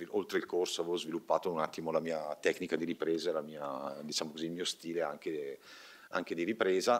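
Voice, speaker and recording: A man talks at a fairly quick pace with ordinary pitch variation in a plain, everyday voice. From Bergamo, northern Italy; northern Italy. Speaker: film director. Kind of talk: press conference. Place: hall. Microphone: podium.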